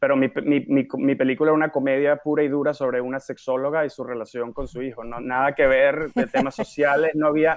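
A man with an unremarkable speaking voice, fairly high-pitched, at a fairly quick pace with hardly any pauses. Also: fairly even intonation. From Venezuela, Caracas. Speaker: film director. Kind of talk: interview.

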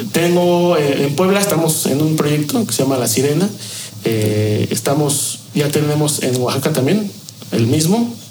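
Speaking at a fairly slow pace, a man with a fairly high voice uses lively intonation and very even loudness, with audible room echo and noticeable background noise. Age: 30s. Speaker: bartender. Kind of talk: interview.

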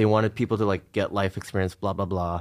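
There is a man with a Californian accent and fairly even intonation, in a very clean recording with a silent background. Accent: General American (California). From US West Coast, Los Angeles suburbs. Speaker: artist in entertainment. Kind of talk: casual interview.

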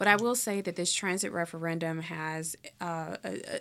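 In a plain, everyday voice with an American accent, a woman speaks at a fairly low pitch and a moderate pace with ordinary pitch variation, on a very clean recording over a silent background. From Chicago, south side. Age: young. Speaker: local party leader. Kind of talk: interview. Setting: studio.

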